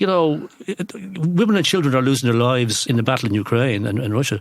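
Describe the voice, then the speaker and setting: A man's fairly high voice at a very fast pace, with very wide pitch swings, on a very clean recording with a silent background. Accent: Irish. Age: 60s. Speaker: economist. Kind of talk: interview. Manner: halting.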